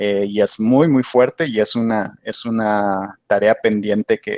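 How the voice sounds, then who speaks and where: The sound is dry and close, with no echo. A man speaks very slowly at a fairly low pitch, his intonation fairly even. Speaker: PhD candidate, academic speaker. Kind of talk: conference Q&A answer. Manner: hesitant, many fillers and repetitions.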